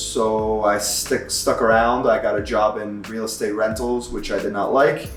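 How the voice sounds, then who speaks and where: A fairly slow delivery with audible room echo and music in the background. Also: man. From Istanbul, Turkey. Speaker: store employee. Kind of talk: interview testimony.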